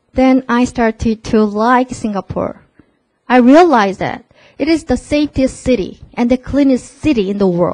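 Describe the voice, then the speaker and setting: Speaking fairly slowly with a Korean accent, a woman uses a high pitch and lively intonation. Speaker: MBA alumnus presenter. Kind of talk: presentation to prospective students. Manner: casual, interactive.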